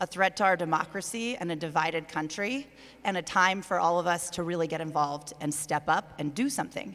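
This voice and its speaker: An unremarkable speaking voice, this woman's has an American accent, a fairly low pitch and ordinary pitch variation, at a fairly quick pace. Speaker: mayor, panelist. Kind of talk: panel discussion.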